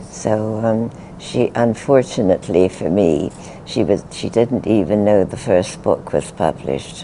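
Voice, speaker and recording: Over noticeable background noise, a woman with a British accent speaks. Her voice is very deep and low, and her pace is fairly slow. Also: ordinary pitch variation. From England. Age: 80s+. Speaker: spiritual teacher. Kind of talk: interview answer.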